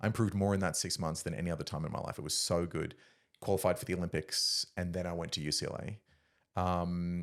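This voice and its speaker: A man's very deep, low voice with an Australian accent, fairly even intonation and very fast pace on a very clean recording with a silent background. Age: 30s. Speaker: former Olympic discus thrower. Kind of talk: casual chat.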